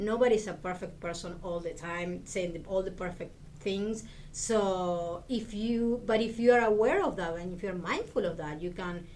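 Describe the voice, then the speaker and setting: A woman's medium-pitched voice in an Argentine accent. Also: ordinary pitch variation, moderate pace. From Argentina. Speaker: Spanish lecturer, professor. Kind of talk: interview conversation.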